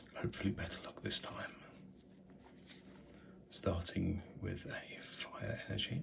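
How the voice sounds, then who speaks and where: Someone is whispering, with long, frequent pauses. Noticeable background noise runs underneath. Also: man. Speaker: hobby YouTuber, new Pokemon card collector. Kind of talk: ASMR whispered card opening narration. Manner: whispered, soft-spoken.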